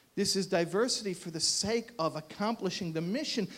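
The speaker is a man with an American accent. His voice sits at a high pitch. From United States. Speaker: rabbi and columnist. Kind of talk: speech. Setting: stage with audience. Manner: animated.

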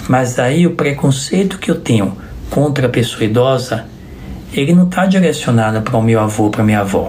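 A man speaks at a fairly quick pace with lively intonation, medium pitch and very even loudness. Noticeable background noise and audible room echo fill the recording. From Bahia, Brazil (Salvador). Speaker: physician. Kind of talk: interview.

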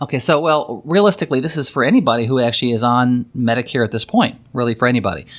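On a very clean recording with a silent background, a man talks at a very fast pace with hardly any pauses. His pitch is medium and its variation ordinary. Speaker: financial planner and podcast host. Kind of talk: casual interview about Medicare. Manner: fast talker.

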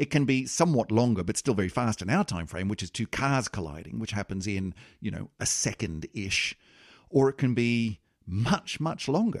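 A man with an Australian accent speaks at a moderate pace and medium pitch with lively intonation. The recording is very clean and dry, close with no echo, against a silent background. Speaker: podcast host and producer. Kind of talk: casual chat. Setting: studio.

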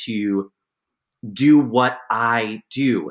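Speaking with an American accent in a bright, sharp tone, a man shows ordinary pitch variation on a very clean recording with a silent background. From New York City area. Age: 40s. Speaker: professor and editor. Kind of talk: casual interview.

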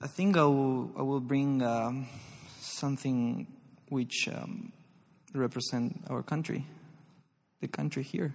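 A man with a Spanish accent speaks at a very slow pace, using long, frequent pauses. His voice sits at medium pitch with ordinary pitch variation. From Argentina, Santa Fe province. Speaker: ballet dancer. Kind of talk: live interview before audience. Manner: halting.

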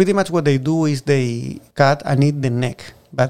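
At a moderate pace, a man with a strong Chilean accent talks in a fairly high pitch with fairly even intonation. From southern Chile. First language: Spanish. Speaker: oyster farmer and farm manager. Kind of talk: casual interview. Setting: on location at the farm. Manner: halting.

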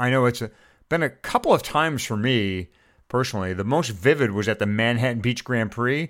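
This man has an ordinary speaking voice at medium pitch, with lively intonation and a moderate pace. The recording is very clean, with a silent background. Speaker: cycling podcast co-host. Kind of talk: casual chat.

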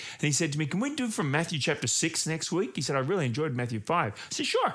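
A man with an Australian accent speaks with lively intonation. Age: 50s. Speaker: pastor. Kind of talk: sermon. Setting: home recording.

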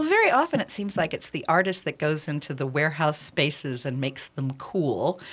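A woman with an American accent talks at a fairly quick pace with hardly any pauses. Her pitch is very deep and low, with ordinary pitch variation. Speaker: radio host. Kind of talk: interview. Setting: studio.

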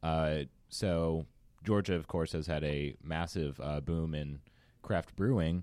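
A man speaks very slowly at a very deep, low pitch, his tone dark and mellow. His intonation stays fairly even on a very clean recording with a silent background. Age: 20s. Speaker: distiller. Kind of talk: casual interview. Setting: studio.

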